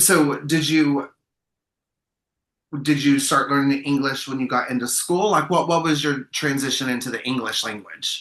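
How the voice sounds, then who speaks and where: A man with a normal speaking voice talks at a moderate pace, pitched fairly high with fairly even intonation. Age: 40s. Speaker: podcast host. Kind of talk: casual chat.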